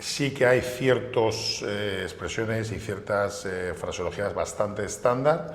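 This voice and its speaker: With audible room echo and noticeable background noise, a man with a medium pitch speaks at a very slow pace with hardly any pauses, big swings in loudness and ordinary pitch variation. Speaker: airline pilot. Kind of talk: interview.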